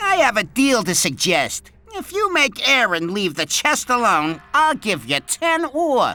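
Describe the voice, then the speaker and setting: A put-on character voice runs at a fairly high pitch with very wide pitch swings. The pace is fairly slow, with hardly any pauses. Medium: video game. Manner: sly.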